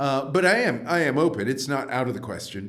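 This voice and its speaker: Audible room echo surrounds a man with a New York accent speaking at a moderate pace with ordinary pitch variation. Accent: New York American. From US Northeast, New York. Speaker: professor. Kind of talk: interview. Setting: podcast. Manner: many hesitations and fillers.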